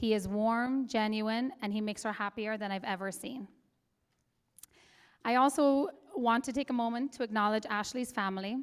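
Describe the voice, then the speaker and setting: Speech in an Irish accent with fairly even intonation and long, frequent pauses sits on a very clean recording with a silent background. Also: woman, fairly high pitch for a woman, moderate pace. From Ireland. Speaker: matron of honor. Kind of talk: wedding toast. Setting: wedding reception.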